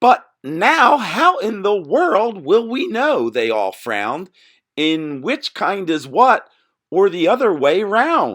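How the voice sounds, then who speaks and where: Putting on a character voice, a man projects loudly at a high pitch and a very slow pace. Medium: read story. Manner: chorus of a crowd.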